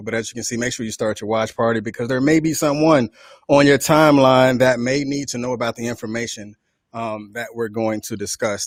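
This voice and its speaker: Here a man talks in an ordinary speaking voice. His pace is fairly quick. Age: 40s. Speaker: radio host. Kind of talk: online radio show discussion.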